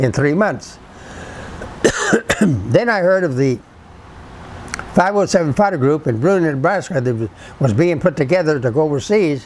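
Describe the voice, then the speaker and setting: A man speaks at a moderate pace in a fairly high voice. There is noticeable background noise. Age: 80s+. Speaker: WWII army veteran. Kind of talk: interview answer.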